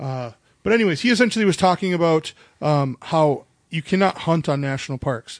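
Over a quiet background, a man with an Upper Midwest accent speaks at a fairly quick pace and a fairly high pitch, with lively intonation in a dry, close sound with no echo. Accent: Upper Midwest American. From North Dakota, Minot area. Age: 30s. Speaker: podcast host. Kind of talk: casual chat. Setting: home recording while drinking beer.

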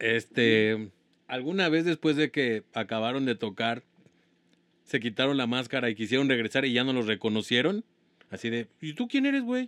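A man with a Mexican accent speaks at a moderate pace and medium pitch, with ordinary pitch variation. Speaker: podcast co-host. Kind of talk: casual chat.

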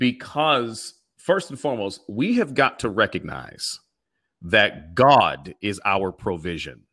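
A man speaks very slowly at a medium pitch, his bright, sharp tone touched with vocal fry. His pitch swings very widely over a very clean recording with a silent background. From Pittsburgh, Pennsylvania. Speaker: pastor and community organizer. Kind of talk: interview. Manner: halting, many fillers.

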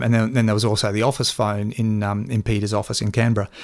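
With an Australian accent, a man talks at a fairly quick pace in a fairly low pitch, recorded very cleanly against a silent background. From Queensland, Australia (Toowoomba). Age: 50s. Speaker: journalist and former political media advisor. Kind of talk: interview. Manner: halting, frequent fillers.

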